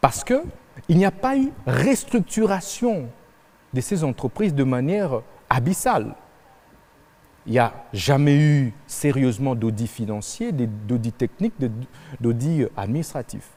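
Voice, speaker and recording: At a fairly slow pace, a man with fairly high pitch talks in very wide pitch swings, pausing long and often. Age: 30s. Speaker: presidential candidate. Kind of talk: televised debate interview.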